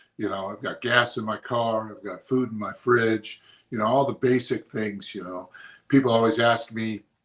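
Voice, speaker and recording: The man has an unremarkable speaking voice at a medium pitch. He keeps a moderate pace. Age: 60s. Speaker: motivational speaker and pastor. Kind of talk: motivational talk. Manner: casual, conversational with fillers.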